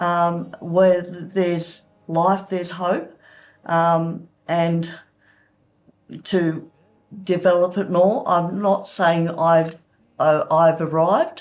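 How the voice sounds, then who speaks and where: Speaking very slowly with long, frequent pauses, a woman with an Australian accent keeps her fairly low voice monotone and flat. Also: very clean recording, silent background. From Sydney, Australia. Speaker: church member sharing testimony. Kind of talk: testimony interview. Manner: halting.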